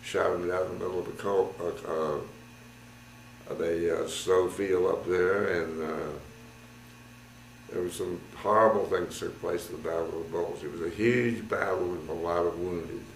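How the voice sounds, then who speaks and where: The speech comes at a fairly slow pace with audible room echo. Light background noise runs underneath. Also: man. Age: 80s+. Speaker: war veteran. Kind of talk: interview answer. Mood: calm, reflective, grave at times. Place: home room.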